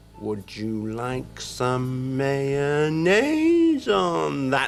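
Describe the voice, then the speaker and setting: Very slowly, someone delivers a put-on character voice over clear background noise. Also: man, medium pitch for a man. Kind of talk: formal, significant. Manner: loaded and meaningful.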